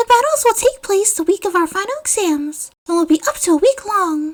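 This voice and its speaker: A woman's put-on character voice, squeaky and extremely high in pitch, at a fairly quick pace. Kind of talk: formal speech to an assembly. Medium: read story.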